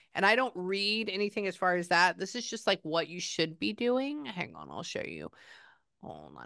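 With an American accent, a woman speaks at a moderate pace in a bright, sharp, animated tone, her intonation lively and her loudness swinging widely, in a dry sound with no echo over a quiet background. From Texas. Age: 30s. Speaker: psychic medium; psychic reader. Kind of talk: psychic reading session. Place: home room.

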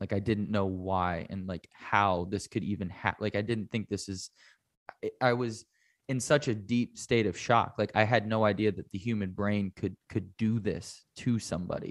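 In an ordinary speaking voice, a man talks at a moderate pace with fairly even intonation, the sound dry and close with no echo. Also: fairly low pitch for a man. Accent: American. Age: 30s. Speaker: mental health advocate and author. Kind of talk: interview.

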